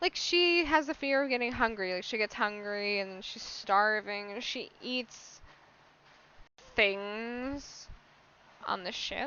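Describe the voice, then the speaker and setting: The speech comes at a very slow pace, with lively intonation and big swings in loudness. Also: woman, fairly high pitch for a woman. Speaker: podcast host. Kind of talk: casual monologue. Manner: casual, filler-heavy.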